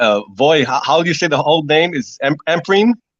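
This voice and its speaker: A man's fairly high voice with an American accent and ordinary pitch variation. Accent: slight New York Spanish. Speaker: artist. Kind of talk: casual chat. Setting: phone call. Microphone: phone delay.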